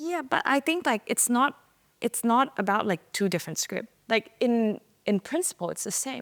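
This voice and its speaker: In a Thai accent, speech comes at a moderate pace with lively intonation, on a very clean recording with a silent background and a dry, close sound with no echo. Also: woman. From Thailand. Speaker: type designer. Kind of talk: interview answer.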